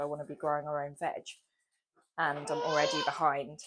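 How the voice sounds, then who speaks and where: A woman talks at a fairly quick pace. She has a British accent. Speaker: vlogger. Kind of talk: casual chat.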